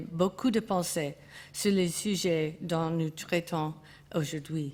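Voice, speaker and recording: At a very slow pace, a woman with an English accent speaks in fairly even intonation. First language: English (speaking French). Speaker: art historian. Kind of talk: conference talk. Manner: halting, with hesitations and self-corrections.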